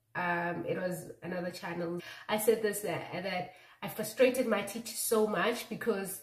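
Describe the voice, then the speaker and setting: Her voice has ordinary pitch variation and a fairly slow pace. This woman is heard with audible room echo. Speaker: beauty vlogger. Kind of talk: casual vlog chat. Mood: relaxed, laughing. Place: bathroom. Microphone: phone near.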